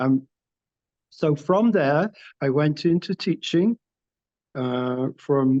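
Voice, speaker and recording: A man with a northern English accent speaks at a fairly high pitch in a dark, mellow tone, recorded dry and close with no echo. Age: 70s. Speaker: artist. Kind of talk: interview.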